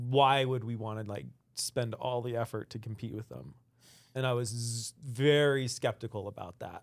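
A man with an unremarkable speaking voice talks at a moderate pace and medium pitch. His intonation is fairly even, though his loudness swings widely. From Utah, Salt Lake City. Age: 40s. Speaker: outdoor product designer. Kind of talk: casual interview chat.

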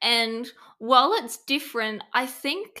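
A woman speaks with an Australian accent at a fairly high pitch. Her tone is bright and sharp. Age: 20s. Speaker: productivity strategist. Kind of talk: casual interview chat. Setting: video call.

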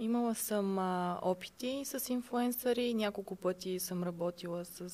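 Using a plain, everyday voice, a woman speaks fairly slowly with fairly even intonation. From Bulgaria, Sofia. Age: 20s. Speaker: online shop owner. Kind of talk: interview.

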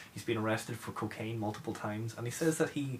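A man rushes along at a very fast tempo amid noticeable background noise. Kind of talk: casual chat.

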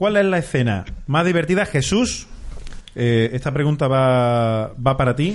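A man's fairly high-pitched, unremarkable speaking voice, fairly slow, with lively intonation and very even loudness. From Andalusia, Córdoba. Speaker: podcast host. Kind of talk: casual chat.

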